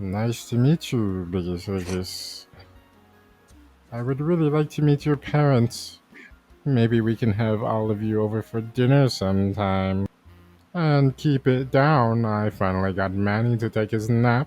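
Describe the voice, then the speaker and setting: A man's croaky, put-on character voice at medium pitch, with ordinary pitch variation and a fairly slow pace, over music in the background. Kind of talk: comic overacting. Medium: read story.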